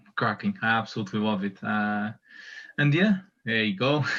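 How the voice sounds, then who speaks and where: The speaker has a Portuguese accent. The background is quiet. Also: man. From Portugal. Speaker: community member. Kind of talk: casual chat.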